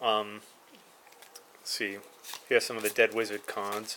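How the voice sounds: A man speaks at a moderate pace in a fairly low pitch. His tone is fairly bright.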